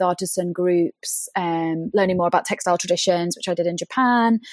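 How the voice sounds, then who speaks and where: In a British accent, a woman talks at a fairly quick pace, recorded with a dry, close sound and no echo. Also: very clean recording, silent background. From UK. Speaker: fashion brand co-founder. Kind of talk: interview conversation.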